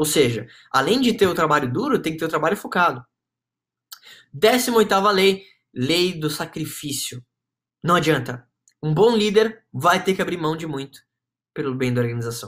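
With a fairly high pitch and very wide pitch swings, a man talks at a moderate pace, leaving long, frequent pauses in a very clean recording with a silent background. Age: 20s. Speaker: podcast host and marketing agency owner. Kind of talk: motivational talk.

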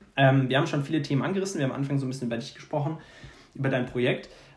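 This man talks at a very fast pace. His medium pitch follows a fairly even intonation. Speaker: podcast host. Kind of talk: casual chat.

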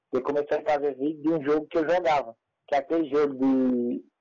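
A man talks at a fairly quick pace in a fairly high pitch. He has an ordinary speaking voice. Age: 20s. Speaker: youtuber and comedian. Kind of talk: casual interview chat.

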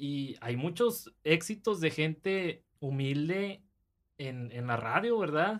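A man's fairly high pitch, very slow pace and lively intonation. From Monterrey, northern Mexico. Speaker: podcast host. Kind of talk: casual chat.

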